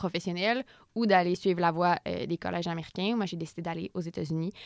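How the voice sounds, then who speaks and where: An unremarkable speaking voice from a woman, fairly low in pitch and fairly even in intonation, with a dry, close sound, no echo and a very clean, silent background. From Quebec, Repentigny. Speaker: author and comedian. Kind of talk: interview.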